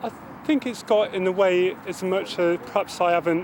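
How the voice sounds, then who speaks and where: A man speaks with a high pitch and fairly even intonation. His pace is moderate, and background noise is noticeable. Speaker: serviceman. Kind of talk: interview testimony. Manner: stammering.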